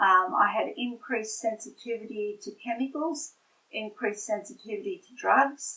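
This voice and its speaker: A woman with an Australian accent speaks at a moderate pace in a fairly high, bright and sharp voice, her pitch varying in an ordinary way while her loudness swings widely. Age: 60s. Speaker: patient giving testimonial, nurse. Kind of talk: testimony. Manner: halting, many fillers.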